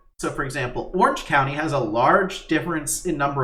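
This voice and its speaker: A man's voice carries audible echo from the room. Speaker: podcast co-host. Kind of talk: casual chat. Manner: halting, many fillers and restarts.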